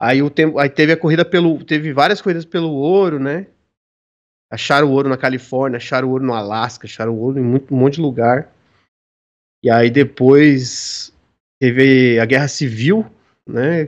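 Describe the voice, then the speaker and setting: Long, frequent pauses in a man's moderately paced speech, fairly high in pitch, with ordinary pitch variation. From São Paulo, Brazil. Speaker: tabletop RPG designer. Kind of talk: casual chat.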